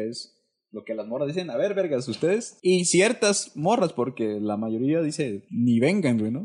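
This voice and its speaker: Over a quiet background, a man with a fairly high voice talks at a moderate pace, his pitch swinging very widely. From Oaxaca, Isthmus region, Mexico. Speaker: podcast co-host. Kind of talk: casual chat.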